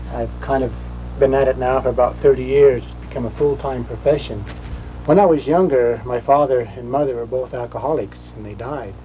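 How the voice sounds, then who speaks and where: Spoken with an American accent over noticeable background noise. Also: man. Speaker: rock art interpreter and author. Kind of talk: documentary interview.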